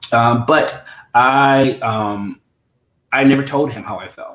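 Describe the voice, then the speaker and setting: A man speaks at a medium pitch with fairly even intonation. It is an ordinary speaking voice. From US Midwest, St. Louis. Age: 30s. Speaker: interview guest. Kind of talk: personal interview. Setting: livestream.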